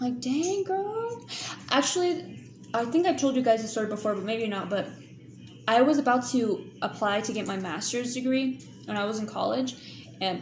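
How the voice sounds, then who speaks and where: Amid noticeable background noise and audible room echo, a woman talks at a moderate pace and high pitch with very wide pitch swings. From Kansas. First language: not English. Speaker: YouTuber. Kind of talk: live stream chat. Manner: animated.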